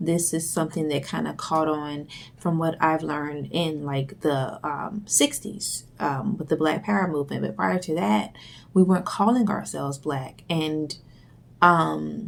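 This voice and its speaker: A woman speaks softly at a very deep, low pitch. Her pace is fairly slow and her intonation lively. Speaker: video blogger. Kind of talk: monologue vlog. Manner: soft-spoken; hesitant, many fillers.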